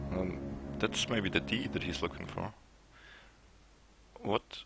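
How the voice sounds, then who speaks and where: With a non-native accent, a man talks at a fairly slow pace in a very deep, low voice, his intonation lively against noticeable background noise. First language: not English. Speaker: video game streamer. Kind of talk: let's play commentary.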